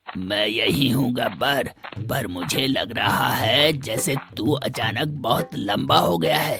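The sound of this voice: A man does a cartoonish character voice at medium pitch. He goes at a fairly slow pace with hardly any pauses.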